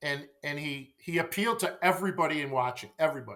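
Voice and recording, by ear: The speech moves at a fast pace with a fairly bright tone and ordinary pitch variation. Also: man, fairly high pitch for a man.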